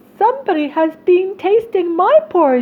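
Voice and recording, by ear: This is a put-on character voice that sounds female, pitched extremely high. The pace is moderate.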